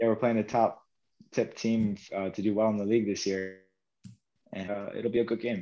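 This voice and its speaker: Taking long, frequent pauses, a man with a fairly low pitch and a dark, mellow tone speaks at a moderate pace in a monotone, flat intonation. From US, South New Jersey. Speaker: professional football goalkeeper. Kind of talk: casual interview.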